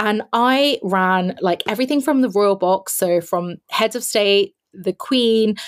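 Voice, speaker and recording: A speaker with a London accent talks at a fairly slow pace with ordinary pitch variation, in a dry, close sound with no echo. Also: woman. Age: 40s. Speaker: space industry consultant and community founder. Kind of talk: interview.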